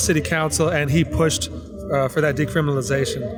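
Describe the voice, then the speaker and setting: With music playing in the background and audible room echo, a man talks at a moderate pace in an American accent. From Florida, West Palm Beach. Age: 40s. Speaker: street interviewee, guitar player. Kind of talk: street interview. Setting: outdoors on a city street. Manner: halting, many fillers.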